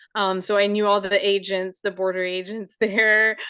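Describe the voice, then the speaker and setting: In a French Canadian accent, a woman speaks at a medium pitch with a bright, sharp tone over a quiet background. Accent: French Canadian accent, noticeable. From Quebec, Canada. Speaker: photographer. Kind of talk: casual interview. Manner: hesitant, many ums.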